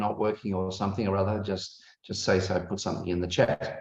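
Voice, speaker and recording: This is a man speaking with an Australian accent. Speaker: academic and conference host. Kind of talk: online conference welcome. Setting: video call. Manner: hesitant, many fillers.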